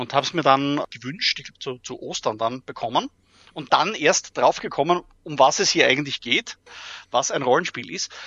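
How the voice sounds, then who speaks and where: A plain, everyday voice: a man, fairly high-pitched, at a moderate pace, with lively intonation and big swings in loudness. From Austria, Graz. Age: 40s. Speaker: role-playing adventure writer. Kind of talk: interview.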